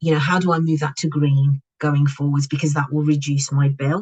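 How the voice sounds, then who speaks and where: Somewhat breathy, this woman's voice sits at a very deep, low pitch. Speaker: packaging compliance consultant. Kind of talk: webinar presentation. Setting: online webinar.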